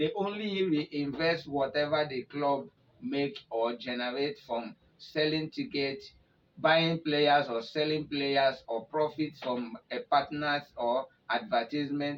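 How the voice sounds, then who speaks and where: A man with a fairly high pitch talks very slowly, using ordinary pitch variation. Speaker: football news presenter. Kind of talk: football news commentary in Nigerian Pidgin.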